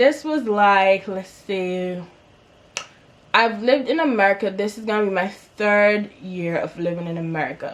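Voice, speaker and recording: Animated in tone, a woman speaks at a fairly slow pace with a fairly high pitch. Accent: Antiguan. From Antigua and Barbuda. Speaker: YouTuber. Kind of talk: storytime vlog.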